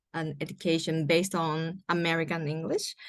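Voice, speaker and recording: A woman with a Japanese accent talks at a fairly low pitch against a quiet background. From Japan, Nagoya and Kobe. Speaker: environmental writer and graduate student. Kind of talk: interview. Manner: halting, many fillers.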